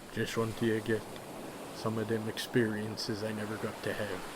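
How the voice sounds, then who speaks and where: Through loud background noise, a man does a put-on character voice at a medium pitch and a moderate pace. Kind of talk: ASMR roleplay.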